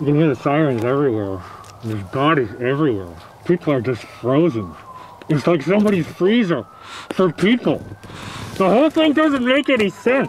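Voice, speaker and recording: With clear background noise, a man in a put-on character voice speaks with long, frequent pauses. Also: fairly high pitch for a man, moderate pace. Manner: darkly comic, rambling.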